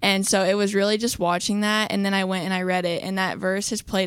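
With an American accent, a woman talks at a medium pitch. Her intonation is monotone and flat, on a very clean recording with a silent background. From West Virginia (Charleston). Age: young. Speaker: college athlete. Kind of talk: radio interview.

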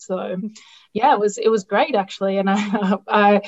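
At a moderate pace, a woman with an Australian accent speaks at medium pitch and with fairly even intonation. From Australia, outskirts of Melbourne. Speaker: nutritionist in international development. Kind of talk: interview. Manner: halting, many fillers.

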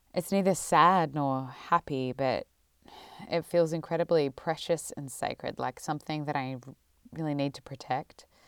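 A woman with an Australian accent speaks at a moderate pace with a very deep, low pitch and fairly even intonation, though her loudness swings widely. The recording is very clean, dry and close, with a silent background and no echo. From Melbourne, Australia. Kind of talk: personal storytelling. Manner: reflective.

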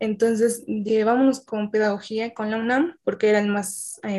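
A woman speaks at a moderate pace with a dark, mellow tone and a fairly high pitch. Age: 20s. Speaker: student teacher. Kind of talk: casual chat.

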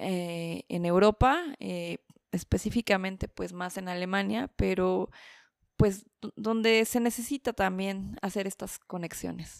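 In a very clean recording with a silent background, a woman's medium-pitched voice comes through dry and close with no echo, at a very slow pace and with ordinary pitch variation. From Mexico City. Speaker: journalist and documentary maker. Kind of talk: casual interview chat.

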